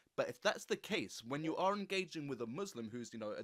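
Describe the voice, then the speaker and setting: With very wide swings in pitch, the speaker keeps a moderate pace. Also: man. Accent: English. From England. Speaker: podcast host. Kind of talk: interview.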